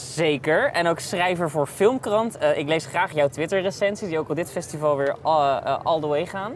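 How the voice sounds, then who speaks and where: Over noticeable background noise, a man talks at a moderate pace with hardly any pauses, using ordinary pitch variation at a high pitch. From Netherlands. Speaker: podcast host, film reporter. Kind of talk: casual interview. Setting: outdoor terrace at festival.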